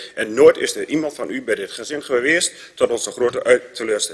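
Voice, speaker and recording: Fairly quick speech over a quiet background. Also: man. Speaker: council speaker. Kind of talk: council debate speech. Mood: critical, indignant. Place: meeting room.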